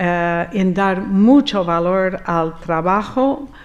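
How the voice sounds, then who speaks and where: Her pitch moves in an ordinary way. The woman talks with an American accent. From US, Rochester, New York. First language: English (speaking Spanish). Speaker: architect. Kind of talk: conference talk. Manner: hesitant, with fillers.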